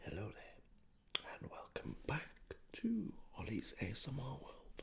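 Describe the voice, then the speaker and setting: A man is whispering. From UK. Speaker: ASMR creator. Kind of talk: soft-spoken football ramble. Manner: soft-spoken.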